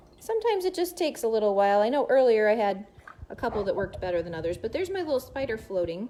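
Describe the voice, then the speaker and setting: A loud, fairly high woman's voice with an American accent, very wide pitch swings and a very fast pace. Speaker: science teacher. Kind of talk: live science demonstration. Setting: livestream. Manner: animated.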